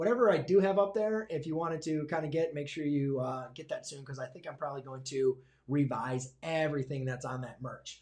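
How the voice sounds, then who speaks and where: The delivery is fairly fast and somewhat breathy, and its pitch moves in an ordinary way. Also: man. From Michigan, US. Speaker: high school math teacher and YouTuber. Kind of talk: live stream Q&A. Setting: livestream. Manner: hesitant, many fillers.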